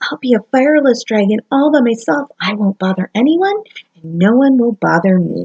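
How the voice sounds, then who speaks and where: A woman puts on a character voice, fairly high in pitch, and speaks at a moderate pace. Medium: read story.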